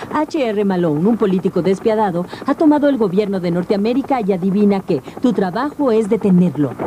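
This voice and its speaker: A woman's medium-pitched voice at a fairly quick pace, lively intonation and very even loudness, with noticeable background noise. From Latin America. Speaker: voice-over dubbing actress. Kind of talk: TV show voice-over narration about video games.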